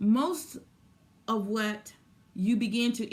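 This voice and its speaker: A woman talks with a somewhat breathy voice. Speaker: spiritual teacher. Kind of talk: spiritual talk. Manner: repetitive, stammering restarts.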